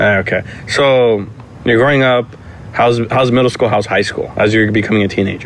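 Over noticeable background noise, a man speaks at a fairly quick pace with medium pitch, fairly even intonation and very even loudness. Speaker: podcast host. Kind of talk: casual interview chat. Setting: recording at a friend's house.

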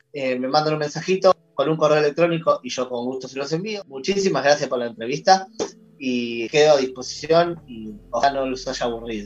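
The man talks with a Rioplatense accent at a moderate pace. His fairly high pitch carries lively intonation. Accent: Argentine Rioplatense Spanish. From Argentina. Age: 40s. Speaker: horror fiction writer. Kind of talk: casual interview chat.

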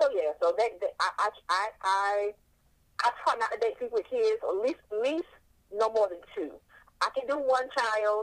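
A woman with an American accent speaks in a plain, everyday voice, fairly high in pitch, with lively intonation at a moderate pace. The sound is dry and close, with no echo. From US South, North Carolina. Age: 30s. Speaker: sex blogger. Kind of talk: interview. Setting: phone call.

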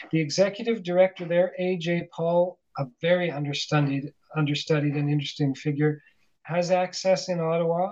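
A man with a high voice and a Canadian accent, moderate pace and fairly even intonation. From Calgary, Canadian prairies. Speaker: author and academic. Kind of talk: interview. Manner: halting, many fillers.

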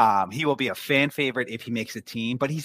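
Lively intonation marks an ordinary speaking voice moving at a fairly quick pace. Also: man, dry, close sound with no echo. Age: 30s. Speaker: hockey analyst. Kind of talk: casual chat.

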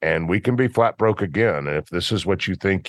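Here a man talks with a Memphis accent and ordinary pitch variation. The sound is dry and close with no echo, over a quiet background. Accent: US Southern (Memphis). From Memphis, Tennessee. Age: 50s. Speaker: football coach and business owner. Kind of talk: interview conversation.

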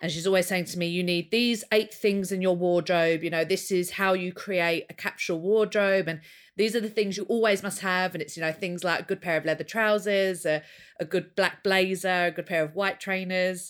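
Here a woman speaks with an English accent. Her intonation stays fairly even. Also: medium pitch for a woman, moderate pace, very clean recording, silent background. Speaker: podcast co-host. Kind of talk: casual chat. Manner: giggly.

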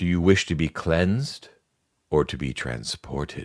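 Putting on a character voice, a man speaks with very deep, low pitch and lively intonation, the sound dry and close with no echo. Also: moderate pace.

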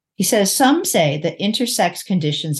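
A woman speaks in a somewhat breathy voice with lively intonation. The background is quiet. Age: 60s. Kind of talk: interview.

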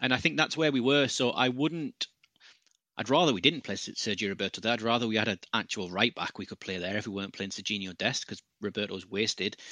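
Very fast and with lively intonation, a man with a British accent speaks at a medium pitch in a bright, sharp tone, the sound dry and close with no echo against a quiet background. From UK. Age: 30s. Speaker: football pundit. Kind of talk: casual chat.

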